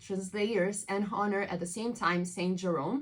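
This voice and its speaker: A woman with an Italian accent and fairly even intonation. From southern Italy. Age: 20s. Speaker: translator. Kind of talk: interview. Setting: studio.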